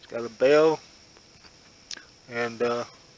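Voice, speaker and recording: The man's intonation stays fairly even while noticeable background noise carries on. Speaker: outdoor cooking vlogger. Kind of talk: casual tutorial. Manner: halting, many fillers.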